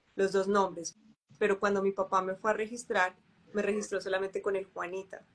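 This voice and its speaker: Talking at a fairly quick pace, a woman keeps a monotone, flat intonation at a medium pitch. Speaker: holistic therapy consultant. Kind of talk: casual chat. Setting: Instagram live video. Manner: soft-spoken.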